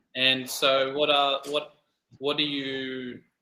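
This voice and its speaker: A man with an Australian accent, talking at a very slow pace. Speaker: English conversation tutor. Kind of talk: casual conversation practice. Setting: online call.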